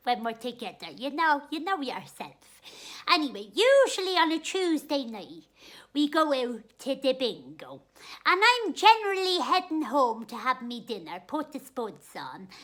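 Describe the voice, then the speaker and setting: Doing a put-on character voice in a strong Dublin accent, a woman speaks at a moderate pace in a high pitch, with very wide pitch swings and big swings in loudness. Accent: strong Dublin Irish. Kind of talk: comic character monologue. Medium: solo performance. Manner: chatty, homely, comic.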